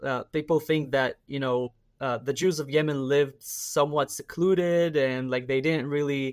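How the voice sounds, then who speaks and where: Recorded with a dry, close sound and no echo, a man speaks at a fairly slow pace and a fairly high pitch. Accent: Israeli. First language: Hebrew. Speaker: activist and army reservist. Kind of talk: interview. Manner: hesitant, many fillers.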